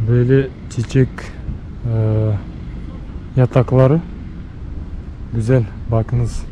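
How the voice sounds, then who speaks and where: A man with a medium pitch speaks at a very slow pace, leaving long, frequent pauses and keeping his intonation fairly even. Noticeable background noise runs underneath. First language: Russian or Bashkir (speaking Turkish). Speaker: travel vlogger. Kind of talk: casual walking tour vlog. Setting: outdoors. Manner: halting, many fillers.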